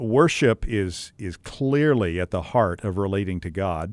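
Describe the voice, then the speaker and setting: Over a quiet background, a man uses an ordinary speaking voice, fairly low in pitch with ordinary pitch variation and a fairly slow pace. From West Texas. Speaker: podcast host, seminary academic. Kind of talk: interview.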